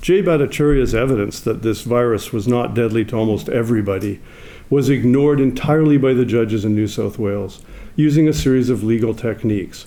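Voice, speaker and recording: The voice has a dark, mellow tone and a fairly quick pace. Its pitch varies in an ordinary way, and room echo is audible. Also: man. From Canada. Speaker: legal scholar. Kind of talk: conference talk. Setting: stage with audience.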